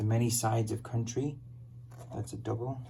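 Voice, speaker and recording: Over noticeable background noise, a man speaks fairly quickly at medium pitch with monotone, flat intonation. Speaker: online reseller. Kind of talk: casual product showcase.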